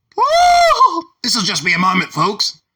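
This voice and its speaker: A man shouting in a put-on character voice, extremely high in pitch with very wide pitch swings, at a fairly slow pace. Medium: solo performance. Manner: confused, rambling.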